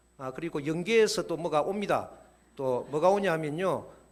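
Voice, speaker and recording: With a high pitch, a man talks while his pitch varies in an ordinary way. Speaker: church educator. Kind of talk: lecture to church members. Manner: fast.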